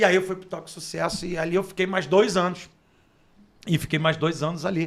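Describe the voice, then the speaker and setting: Big swings in loudness mark a man's high-pitched voice as he talks at a fairly quick pace. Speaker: radio announcer and sports journalist. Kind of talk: interview storytelling. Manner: animated.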